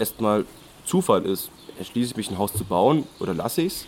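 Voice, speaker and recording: Here is a man with a normal speaking voice, pitched fairly low. He talks at a moderate pace. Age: 20s. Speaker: student and podcast co-host. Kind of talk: casual chat. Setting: outdoors on a hike.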